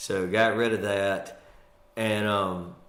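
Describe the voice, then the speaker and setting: With a Mississippi accent, a man speaks in a fairly low voice and fairly even intonation, with audible room echo around him. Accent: US Southern (Mississippi). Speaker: comedian. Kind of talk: casual interview chat.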